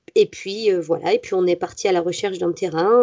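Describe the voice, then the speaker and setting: Flat and monotone, a woman's medium-pitched voice holds one level. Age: 30s. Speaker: forest school teacher. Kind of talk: interview. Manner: halting.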